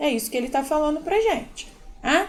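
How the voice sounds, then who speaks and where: A woman is speaking. Her pitch swings very widely. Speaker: math teacher. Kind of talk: tutorial. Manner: conversational, informal.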